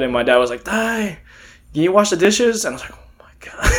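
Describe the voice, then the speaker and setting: Noticeable background noise surrounds a man who talks very fast with an American accent. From Texas, Beaumont. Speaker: podcast guest, musician. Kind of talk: casual chat.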